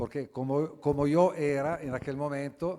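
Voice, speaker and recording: Speaking in an Italian accent, a man has a fairly high pitch and a dark, mellow tone. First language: Italian (speaking Spanish). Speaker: philosopher, book presenter. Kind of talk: book presentation talk. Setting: auditorium with audience. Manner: halting.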